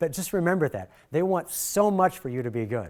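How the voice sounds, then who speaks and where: A man with an American accent, fairly quick pace and very wide pitch swings, in a very clean recording with a silent background. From Michigan. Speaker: workshop presenter, video director. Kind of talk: workshop lecture. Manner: fast.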